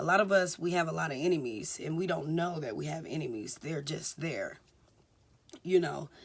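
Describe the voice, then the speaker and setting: A woman talks at a moderate pace in a very deep, low pitch, her pitch variation ordinary. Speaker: vlogger giving life advice. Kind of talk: casual monologue.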